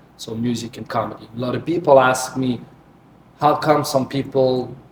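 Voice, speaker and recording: Noticeable background noise sits under a man speaking at a medium pitch and a moderate pace. His intonation is fairly even, but his loudness swings widely. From Naples, Italy. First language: Italian. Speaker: comedian and singer. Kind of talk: interview. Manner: halting.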